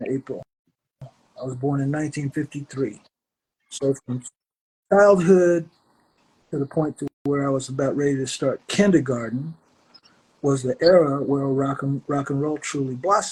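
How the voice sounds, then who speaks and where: A man with a fairly high pitch and ordinary pitch variation speaks at a moderate pace, somewhat breathy. He leaves long, frequent pauses, and the sound is dry and close with no echo. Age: 70s. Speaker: rock musician and author. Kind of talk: interview.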